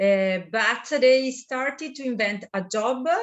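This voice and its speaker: A woman talks with an Italian accent. Her pace is very slow. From Italy, Tuscany (Chianti). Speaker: winemaker. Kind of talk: interview. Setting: video call. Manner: halting, many fillers.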